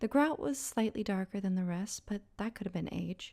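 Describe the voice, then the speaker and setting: A woman's somewhat breathy, medium-pitched voice moves at a fairly slow pace with ordinary pitch variation. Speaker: storyteller. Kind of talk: horror story narration. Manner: slow, atmospheric.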